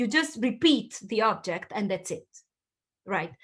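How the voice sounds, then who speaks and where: With lively intonation, a woman speaks at a fairly high pitch. Her pace is moderate. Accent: Italian. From Southern Italy. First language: Italian. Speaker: linguistics professor. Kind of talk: lecture. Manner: animated.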